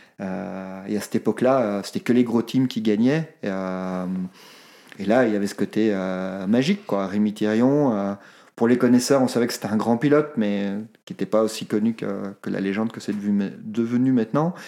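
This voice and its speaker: Recorded very cleanly against a silent background, a man speaks at a moderate pace with a fairly low pitch. His tone is dark and mellow, with ordinary pitch variation. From Belgium, Brussels. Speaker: sports photographer. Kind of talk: interview.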